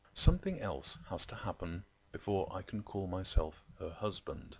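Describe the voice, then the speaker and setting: With a southern English accent, a man speaks at a fairly slow pace in a very deep, low pitch, showing vocal fry and ordinary pitch variation in a very clean recording with a silent background. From southern England. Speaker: video blogger. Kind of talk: video response commentary. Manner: formal.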